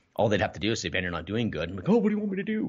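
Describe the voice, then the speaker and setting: A man speaks with lively intonation. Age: 30s. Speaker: entrepreneur and real estate coach. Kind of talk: casual interview chat.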